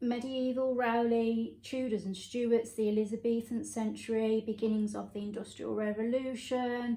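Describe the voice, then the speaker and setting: A woman's fairly high voice in monotone, flat intonation, at a moderate pace with hardly any pauses. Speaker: thrifting vlogger. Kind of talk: casual haul vlog. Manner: casual, hesitant with fillers.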